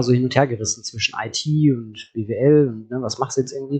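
Normal pitch movement runs through a somewhat breathy voice. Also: man. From Hagen, Ruhr area, Germany. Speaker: startup founder. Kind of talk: interview. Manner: hesitant, many fillers.

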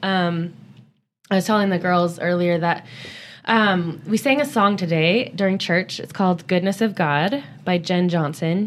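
A woman has a plain, everyday voice, fairly low in pitch with ordinary pitch variation. She speaks at a fairly slow pace on a very clean recording with a silent background. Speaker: churchgoer sharing faith reflections. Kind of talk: casual Bible-based chat.

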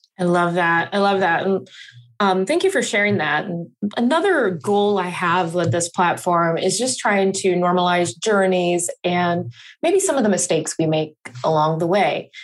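In an unremarkable speaking voice, a woman of medium pitch speaks at a moderate pace, with ordinary pitch variation and very even loudness. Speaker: podcast host. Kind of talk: casual interview.

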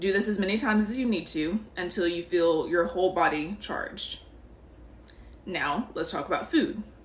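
Over noticeable background noise, a woman at a medium pitch speaks with lively intonation. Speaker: spiritual podcast host. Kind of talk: guided meditation. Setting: podcast. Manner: slow, soothing, calm; warm, gentle, instructive.

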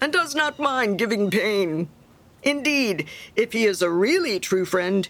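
Lively intonation lifts this unforced reading voice.

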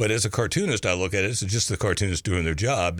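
A man speaks at a very deep, low pitch with a slight Kentucky accent. The recording is very clean, with a silent background. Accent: Kentucky Southern US, slight. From Kentucky, US. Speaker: cartoonist. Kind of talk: casual interview chat. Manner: halting, filler-heavy.

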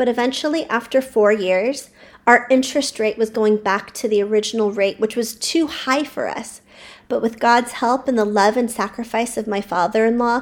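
Heard on a very clean recording with a silent background, a woman in a plain, everyday voice speaks at a moderate pace and fairly high pitch with fairly even intonation. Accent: American. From California. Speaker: childcare center owner and educator. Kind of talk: personal storytelling monologue.

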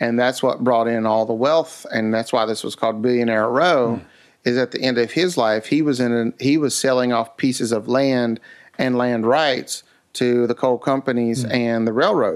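Against a quiet background, a man with an Appalachian accent talks at medium pitch with fairly even intonation. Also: moderate pace. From US South, West Virginia Appalachia. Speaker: museum founder. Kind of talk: casual interview.

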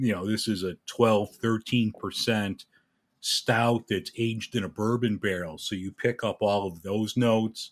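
On a very clean recording with a silent background, a man speaks with an American accent in a plain, everyday voice. His pitch is fairly low, his intonation fairly even and his pace fairly slow. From Chicago, US Midwest. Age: 50s. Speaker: podcaster and airline worker. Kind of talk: casual interview.

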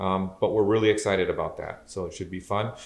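A man talks with a Midwestern American accent. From Southeast Michigan. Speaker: electrical engineer and podcast co-host. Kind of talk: casual chat. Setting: at home on the couch by the fireplace.

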